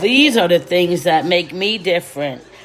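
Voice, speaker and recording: The speaker's tone is animated and the intonation lively, with noticeable background noise behind the voice. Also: woman. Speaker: children's storyteller. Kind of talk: casual talk to viewers; story time reading for children.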